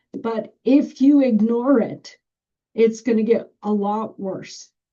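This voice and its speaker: Loud and at a very slow pace, a woman with a fairly high pitch speaks in a dark, mellow tone with ordinary pitch variation. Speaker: school bus driver trainer. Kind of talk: training presentation. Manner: projecting, can get loud.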